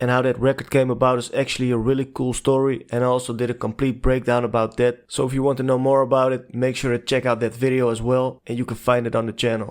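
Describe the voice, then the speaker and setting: A man speaks at a very fast pace with hardly any pauses, in a non-native accent. His medium pitch stays monotone, with flat intonation. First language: not English. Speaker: music documentary narrator. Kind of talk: documentary narration.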